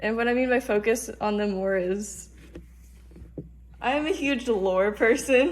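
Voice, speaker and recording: A woman's very slow delivery, with normal pitch movement. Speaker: character creator and animator. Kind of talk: casual talk to camera. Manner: stuttering, stumbling over words.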